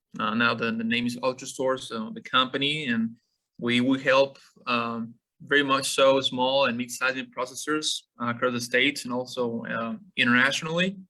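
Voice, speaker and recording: A man speaks with a Mexican accent. His tone is bright and sharp. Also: medium pitch for a man, ordinary pitch variation, moderate pace. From Mexico, Monterrey. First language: Spanish. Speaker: meat scientist. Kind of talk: webinar lecture. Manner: halting, many fillers.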